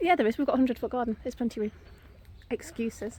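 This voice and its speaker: Talking at a very fast pace, a woman has a fairly high pitch, ordinary pitch variation, a dark, mellow tone and vocal fry. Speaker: vlogger. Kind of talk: casual vlog walk-and-talk. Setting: outdoors.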